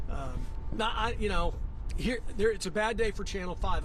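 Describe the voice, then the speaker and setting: Speaking at a moderate pace, a man is heard. Audible room echo surrounds his voice. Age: 60s. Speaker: TV sports anchor. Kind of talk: live sports analysis on TV. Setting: outdoors at a stadium.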